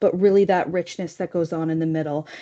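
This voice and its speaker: Against a quiet background, a woman speaks with a dark, mellow tone and ordinary pitch variation in a dry, close sound with no echo. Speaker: kindergarten program staff in school board. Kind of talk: presentation at board meeting. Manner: fast.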